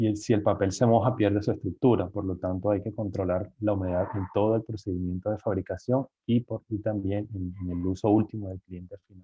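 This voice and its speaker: A man with an unremarkable speaking voice and fairly low pitch talks at a fairly quick pace with fairly even intonation and big swings in loudness. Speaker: engineer giving guest lecture on cardboard packaging. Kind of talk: lecture.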